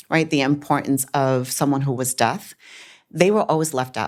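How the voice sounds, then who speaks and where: With a Chicago accent, a woman talks at a moderate pace in a very deep, low pitch with ordinary pitch variation, on a very clean recording with a silent background. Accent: Chicago American English. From Chicago, US. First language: Spanish. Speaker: business owner. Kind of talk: interview.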